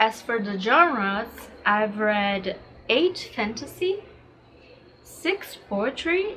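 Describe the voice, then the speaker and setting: Her pace is very slow. This woman speaks at a fairly high pitch with lively intonation. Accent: Portuguese. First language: Portuguese. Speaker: booktuber. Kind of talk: casual vlog talk. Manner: casual with frequent fillers.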